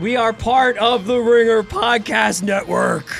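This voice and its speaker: A man uses a put-on character voice with a high pitch at a fairly slow pace. Clear music plays in the background. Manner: shouting, exaggerated.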